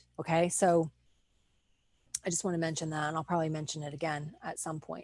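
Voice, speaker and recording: Against a quiet background, a woman with an American accent talks at a fairly quick pace. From New Jersey. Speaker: online business coach. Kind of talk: live webinar training. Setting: Facebook live stream with screen sharing.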